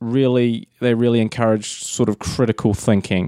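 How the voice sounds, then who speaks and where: In a New Zealand accent, this dark, mellow voice shows ordinary pitch variation on a very clean recording with a silent background. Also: man. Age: 30s. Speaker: filmmaker and pro wrestler. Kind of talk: casual chat.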